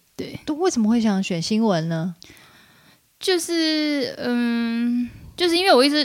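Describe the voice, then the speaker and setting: A woman speaks very slowly with a fairly high voice and very wide pitch swings. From mainland China from age 10, born in Taiwan. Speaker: media worker, freelance journalist. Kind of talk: casual interview chat.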